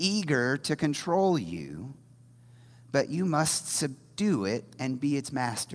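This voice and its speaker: Speech comes at a very slow pace in an American accent. The recording is very clean, with a silent background. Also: man. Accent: Midwestern American with some Southern drawl. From US Midwest, Indiana. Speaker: lay preacher. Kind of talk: sermon. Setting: church stage with congregation.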